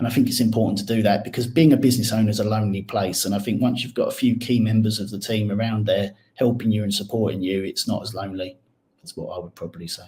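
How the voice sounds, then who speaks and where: A man speaks at a very fast pace with a fairly low pitch, fairly even intonation and a somewhat breathy voice. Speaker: accountant. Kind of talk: podcast interview.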